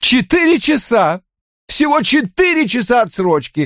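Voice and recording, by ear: A man does a put-on character voice with extremely high pitch, a fairly bright tone and big pitch swings. He goes at a fairly slow pace in a very clean recording with a silent background.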